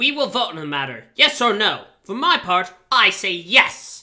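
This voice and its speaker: In a put-on character voice, a female-sounding speaker projects loudly at a medium pitch for a woman, swinging very widely in pitch at a moderate pace. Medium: read story. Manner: abrupt.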